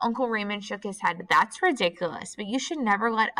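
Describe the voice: The reading aloud is plain, and its pitch shifts in an ordinary way.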